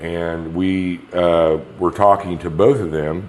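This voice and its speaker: A man with a very deep, low voice and a Midwestern American accent speaks in a flat monotone, with audible room echo and noticeable background noise. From Kansas. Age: 60s. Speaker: patient. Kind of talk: interview. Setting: rental apartment.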